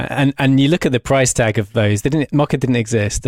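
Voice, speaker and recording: Recorded very clean with a silent background and a dry, close sound with no echo, a man with an English accent speaks at a moderate pace. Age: 30s. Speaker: motion designer. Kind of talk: interview. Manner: halting.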